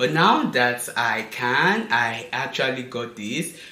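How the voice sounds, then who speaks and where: A man talks very slowly, with audible room echo and noticeable background noise around him. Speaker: fashion and lifestyle vlogger. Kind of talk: casual unboxing vlog. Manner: animated.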